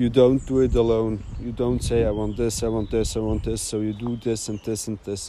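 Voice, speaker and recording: Speaking at a moderate pace, a man barely pauses at all. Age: 30s. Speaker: podcaster. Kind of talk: personal monologue. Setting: outdoors. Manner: halting.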